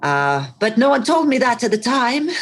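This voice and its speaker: In a Bosnian accent, a woman with a high pitch speaks at a fairly slow pace, her voice making very wide pitch swings. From Bosnia and Herzegovina, Mostar. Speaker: actress and coach. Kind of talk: podcast interview. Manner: animated.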